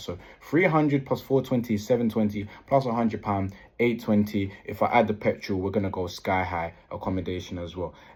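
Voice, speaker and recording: Man with a British accent, fairly low-pitched and somewhat breathy, at a fairly quick pace with ordinary pitch variation, on a very clean recording with a silent background. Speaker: property investor vlogger. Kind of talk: vlog. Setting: hotel room. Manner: fast.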